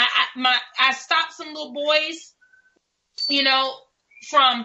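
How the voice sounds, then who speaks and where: Animated in tone, a woman with a New York accent speaks at a high pitch and fairly slow pace with ordinary pitch variation. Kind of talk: talk radio discussion. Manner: halting, repeats words.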